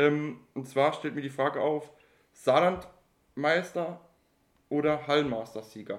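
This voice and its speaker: Speaking at a very slow pace with long, frequent pauses, a man keeps a fairly high pitch and ordinary pitch variation. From Saarland, Germany. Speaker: podcast co-host. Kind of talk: casual chat.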